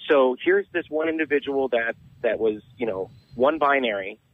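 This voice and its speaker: Speaking with an American accent, a man uses a medium pitch with ordinary pitch variation. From Southern California. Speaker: podcaster, genderqueer guest. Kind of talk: radio interview. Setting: phone call.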